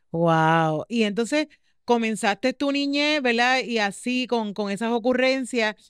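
Speaking very slowly with a Puerto Rican accent, a woman uses a fairly high pitch and lively intonation, recorded dry with no echo against a quiet background. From Puerto Rico. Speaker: podcast host. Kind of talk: casual interview chat. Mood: warm, curious. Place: studio. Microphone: studio mic.

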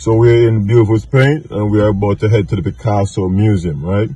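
A man with a fairly low voice talks at a moderate pace. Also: dry sound with no echo. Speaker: travel vlogger. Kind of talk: casual vlog chat. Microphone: phone near.

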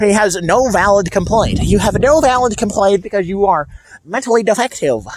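Noticeable background noise sits behind a man speaking at a high pitch with an American accent. His loudness stays very even, and the sound is dry with no echo. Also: ordinary pitch variation, moderate pace. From El Paso, Texas. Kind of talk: casual talk to camera. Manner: conversational, ranting, annoyed. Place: street. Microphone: phone near.

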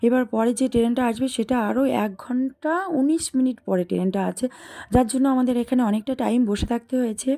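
Over noticeable background noise, a woman speaks at high pitch with fairly even intonation. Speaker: vlogger. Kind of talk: vlog narration. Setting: outdoors, train and stations.

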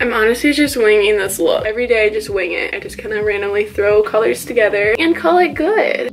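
A woman talks at a fairly quick pace and medium pitch with lively intonation. Faint music plays in the background.

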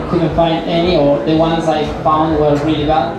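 A man is speaking. Room echo is audible, and background noise is loud. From Argentina. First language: Spanish. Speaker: chef. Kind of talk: Q&A interview on stage. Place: hall.

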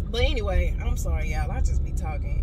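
Loud background noise surrounds a woman who speaks at a fairly quick pace. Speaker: motivational vlogger. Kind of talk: casual vlog chat. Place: car. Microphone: phone near.

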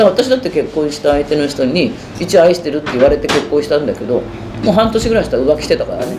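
Over noticeable background noise, a woman talks at a very fast pace with very wide pitch swings. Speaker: bar owner. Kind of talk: documentary interview answer. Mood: candid, wry storytelling. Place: bar.

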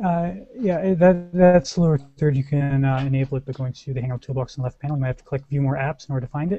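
In a dry sound with no echo, a man rushes along at a very fast pace with hardly any pauses, his dark, mellow tone somewhat breathy and his pitch variation ordinary. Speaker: show host. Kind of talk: casual chat. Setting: video call. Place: home room. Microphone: headset.

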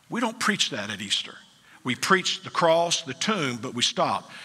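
Bright and sharp in tone, a man's voice shows vocal fry as he speaks at a moderate pace. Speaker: pastor. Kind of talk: sermon. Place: church. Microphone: headset.

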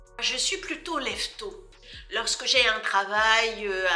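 Faint music can be heard in the background. Over it, a woman talks. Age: 60s. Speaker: politician. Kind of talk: interview answers. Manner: hesitant, frequent fillers. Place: office.

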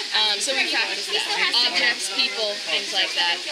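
A woman's voice over loud background noise. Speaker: animal trainer tour guide. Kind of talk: tour guide explanation. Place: stadium.

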